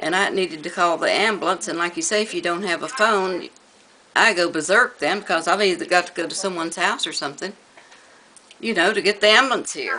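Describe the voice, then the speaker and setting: In an American accent, a woman at medium pitch talks at a fairly quick pace with ordinary pitch variation against noticeable background noise. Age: 70s. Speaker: elderly resident interviewed. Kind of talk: news interview.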